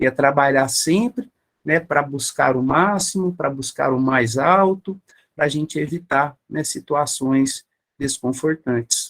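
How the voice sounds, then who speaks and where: A man speaks very slowly with a fairly high pitch and ordinary pitch variation. The sound is dry and close, with no echo. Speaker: spiritist lecturer. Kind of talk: lecture.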